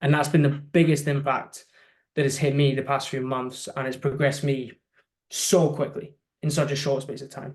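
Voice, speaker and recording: Somewhat breathy and fairly high-pitched, a man speaks at a moderate pace with monotone, flat intonation. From UK. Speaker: social media agency owner. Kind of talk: interview.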